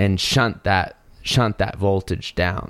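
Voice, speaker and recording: A man with an ordinary speaking voice, an American accent, fairly low pitch and a fairly slow pace. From US South, North Carolina. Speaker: podcast host, audio engineer. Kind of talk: casual chat.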